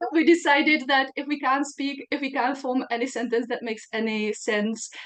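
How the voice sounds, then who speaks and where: A woman with a non-native accent and a high pitch, at a moderate pace with fairly even intonation, amid noticeable background noise. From Czech Republic. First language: Czech. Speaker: podcast host. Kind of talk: interview.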